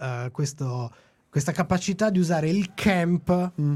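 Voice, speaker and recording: A man speaks at a fairly slow pace in a fairly high pitch with ordinary pitch variation and a dark, mellow tone. The recording is very clean, with a silent background. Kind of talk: casual chat.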